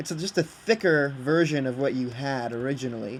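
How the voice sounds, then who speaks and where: A man's medium-pitched voice shows ordinary pitch variation over noticeable background noise. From Britain. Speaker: video game creator. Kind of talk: casual chat. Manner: halting, many fillers. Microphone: laptop built-in mic.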